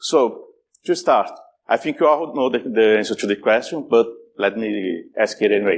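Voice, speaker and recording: A man speaks with a strong Brazilian accent and very wide pitch swings at a moderate pace. The background is quiet. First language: Portuguese. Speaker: security conference speaker. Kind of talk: conference talk. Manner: halting, many repetitions and fillers.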